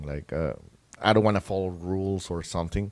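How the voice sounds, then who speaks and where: Someone with a Spanish accent talks at a fairly quick pace with fairly even intonation. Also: man. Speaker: songwriter and musician. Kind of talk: casual interview. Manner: halting.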